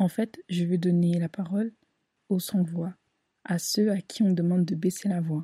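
In a dry, close sound with no echo, the voice is dark, mellow and somewhat breathy, moving at a fairly slow pace with fairly even intonation and long, frequent pauses. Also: woman, fairly low pitch for a woman. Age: 20s. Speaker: podcast host. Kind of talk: casual monologue.

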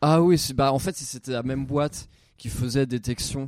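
A man with a medium-pitched voice talks fairly slowly, his intonation fairly even. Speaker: comedy podcast co-host, amateur youtuber. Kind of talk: casual chat. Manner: halting.

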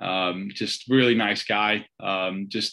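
Bright and sharp in tone, this voice has a North Welsh accent and fairly even intonation. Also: man. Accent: North Wales (Wrexham). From Wales, Wrexham. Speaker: football fan. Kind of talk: casual interview.

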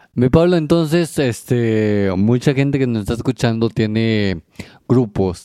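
A man's medium-pitched voice has a dark, mellow tone. The sound is dry and close with no echo, over a quiet background. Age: 40s. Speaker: podcast host. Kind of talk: casual chat.

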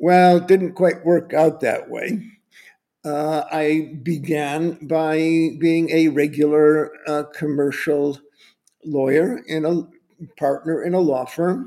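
In an American accent, a man speaks at a very slow pace with a dark, mellow tone, a fairly high pitch and fairly even intonation, on a very clean recording with a silent background. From United States. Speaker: lawyer and city tour guide. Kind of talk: interview.

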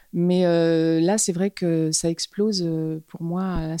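Recorded with a dry, close sound and no echo, a woman speaks in a fairly low pitch with a dark, mellow tone and fairly even intonation. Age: 50s. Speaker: fashion model. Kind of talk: interview. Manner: halting.

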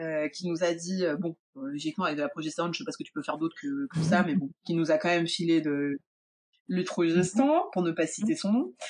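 This woman has a plain, everyday voice, pitched fairly low, with lively intonation. She talks at a fairly quick pace, and the sound is dry and close with no echo. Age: 30s. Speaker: illustrator. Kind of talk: testimony.

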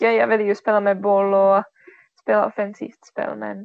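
A woman speaks at a fairly slow pace. She talks with a Czech accent. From Czech Republic. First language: Czech (speaking Swedish). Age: 20s. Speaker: floorball player. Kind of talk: interview. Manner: halting.

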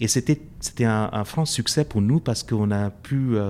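This man has a dark, mellow tone and a medium pitch. He talks at a fairly slow pace. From India. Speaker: professor. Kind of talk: interview. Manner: halting.

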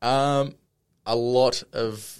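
The recording is very clean with a silent background as a man speaks with an Australian accent. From Australia, Brisbane. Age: 20s. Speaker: sports club multimedia producer. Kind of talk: casual interview.

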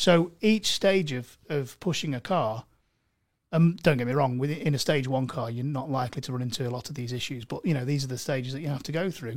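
On a very clean recording with a silent background, a man with an East Midlands accent speaks at a fairly quick pace, his fairly high pitch showing ordinary pitch variation. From Mansfield, English East Midlands. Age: 30s. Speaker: car tuning specialist. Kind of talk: casual chat. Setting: studio.

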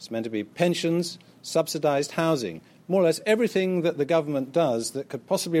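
Speaking at a very fast pace with an English accent, this voice has a dark, mellow tone on a very clean recording with a silent background. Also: man. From Britain. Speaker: author. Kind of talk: lecture. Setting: auditorium with audience.

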